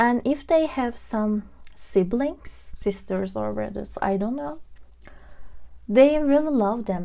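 A woman's gentle, fairly high voice with a non-native accent and lively intonation, at a very slow pace. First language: not English. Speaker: tarot reader. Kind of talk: pick-a-card tarot reading to camera. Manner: casual, gentle, with filler words.

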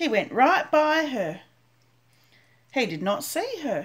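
A woman speaks in a sing-song way, her pitch swinging very widely. Her tone is gentle, and the background is quiet. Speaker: grandmother reading storybook aloud. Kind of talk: bedtime story reading aloud to a child, picture-book narration. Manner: slow, gentle, sing-song storytelling pace with repetition and small pauses; animated character voices, questioning tone for 'Are you my mother?'. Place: home room. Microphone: webcam.

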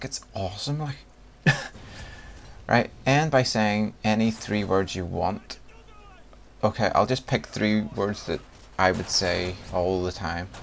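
This man has a Northern Irish accent and a fairly low voice with ordinary pitch variation. He talks at a very slow pace, leaving long, frequent pauses. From Northern Ireland. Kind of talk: casual talk to camera.

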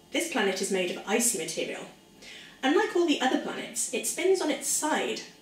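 In a Welsh accent, a woman talks at a fairly quick pace with an upbeat tone and a high pitch. Her pitch swings very widely, and the room echo is audible. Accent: soft Welsh. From South Wales. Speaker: science presenter for children. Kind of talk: educational lesson for children. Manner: upbeat, friendly. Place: kitchen. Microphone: camera far.

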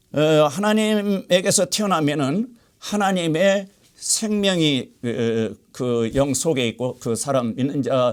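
The man's fairly high voice swings very widely in pitch. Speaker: pastor. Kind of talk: sermon.

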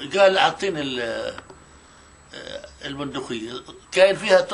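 The delivery is at a fairly slow pace with ordinary pitch variation. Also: man. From Palestine, Tira near Tulkarm. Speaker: Nakba witness. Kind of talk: oral history interview answer. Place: home room.

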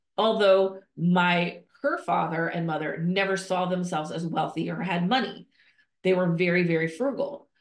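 A woman with a fairly low pitch speaks at a moderate pace with ordinary pitch variation, and the room echo is audible. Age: 50s. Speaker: nonprofit leadership coach and podcast host. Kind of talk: solo podcast monologue. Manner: conversational, with frequent fillers and restarts. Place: home room. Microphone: earbuds.

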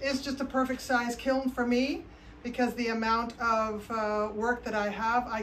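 The intonation stays fairly even, with light background noise behind it. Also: woman. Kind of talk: casual vlog chat. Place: workshop. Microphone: phone near.

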